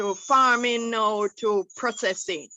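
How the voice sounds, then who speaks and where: A woman speaks at a fairly high pitch. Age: 70s. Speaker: entrepreneur, sauce maker. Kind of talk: forum question.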